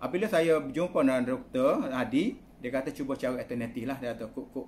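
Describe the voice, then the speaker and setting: Fairly high-pitched male voice with lively intonation, a fairly quick pace and light background noise. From Kelantan, Malaysia (Pasir Mas); Kelantan, Malaysia. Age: 60s. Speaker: product promoter. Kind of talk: testimonial. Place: home room. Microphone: phone near.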